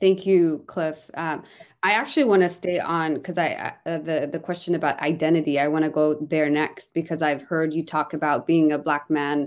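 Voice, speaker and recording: A woman speaks with a Pacific Northwest accent in a very deep, low voice, at a moderate pace with fairly even intonation and hardly any pauses. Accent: Pacific Northwest American. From Somalia, raised in Kent, Washington. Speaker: political candidate, community organizer. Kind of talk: panel discussion moderation. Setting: video call.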